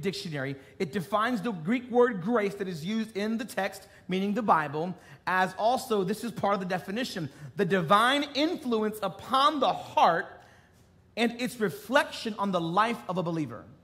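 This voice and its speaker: With lively intonation, the man keeps to a moderate pace. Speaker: preacher. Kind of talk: sermon. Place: stage.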